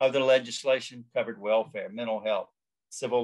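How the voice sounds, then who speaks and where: With a quiet background behind him, a man speaks with a Southern US accent. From US South. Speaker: law professor. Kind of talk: lecture. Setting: video call. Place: home room. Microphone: webcam.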